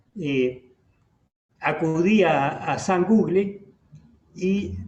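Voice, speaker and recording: With a Rioplatense accent, a man talks in a high pitch with lively intonation, and audible room echo surrounds his voice. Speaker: radio host. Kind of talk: interview. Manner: hesitant, many fillers.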